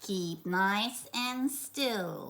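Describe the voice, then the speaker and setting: The put-on character voice sounds female and sits at a medium pitch for a woman. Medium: read story.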